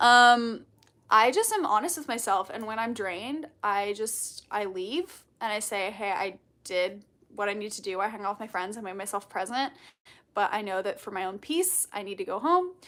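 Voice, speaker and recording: A woman speaks loudly at a moderate pace with ordinary pitch variation. Her tone is bubbly, bright and sharp. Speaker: content creator. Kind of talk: livestream Q&A chat. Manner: loud and bubbly.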